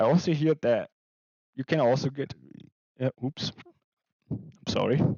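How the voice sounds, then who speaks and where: A quiet man at a fairly slow pace, with long, frequent pauses. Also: fairly high pitch for a man, fairly even intonation. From Germany. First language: German. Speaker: artist and animation streamer. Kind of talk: casual live stream chat. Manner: quiet, held back.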